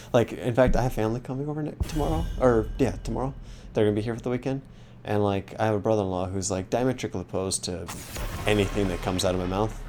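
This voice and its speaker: A man talks at a very fast pace in a fairly low voice. Music plays in the background. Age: 30s. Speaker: video game streamer. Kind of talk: casual chat. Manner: loud.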